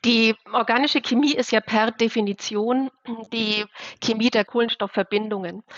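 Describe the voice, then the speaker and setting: A woman talks in an ordinary speaking voice. Her loudness is very even and her intonation fairly even. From Bavaria, Germany. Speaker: chemistry professor. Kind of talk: interview.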